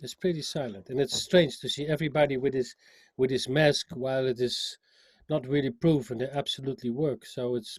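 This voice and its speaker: Speaking with a strong Dutch accent, a man uses a medium pitch, ordinary pitch variation and a moderate pace, his voice somewhat breathy, and the sound is dry and close with no echo. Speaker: musician, singer and sax player. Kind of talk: interview. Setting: call. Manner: halting, with many repetitions.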